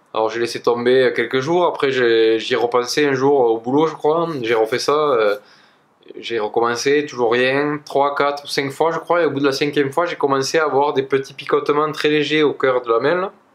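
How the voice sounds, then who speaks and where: A man with a slight southwestern French accent talks at a moderate pace, with a fairly high pitch and fairly even intonation. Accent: slight south-west French. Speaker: energy healer. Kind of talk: casual personal story to camera. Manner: hesitant, many fillers.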